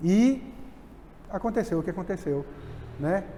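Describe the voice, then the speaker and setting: The man speaks at a moderate pace. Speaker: preacher. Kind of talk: sermon.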